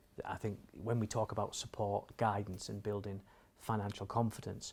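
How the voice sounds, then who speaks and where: A somewhat breathy male voice in a northeast English accent, fairly low in pitch, with monotone, flat intonation at a moderate pace. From northeast England. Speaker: financial advisory chief executive. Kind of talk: interview.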